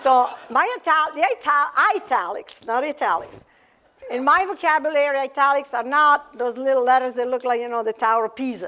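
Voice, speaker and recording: A woman's high-pitched, raised, projected voice at a fairly quick pace, with lively intonation. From Italy. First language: Italian. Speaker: author and cardiologist. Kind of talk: author talk. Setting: library event with audience. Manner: halting, many fillers.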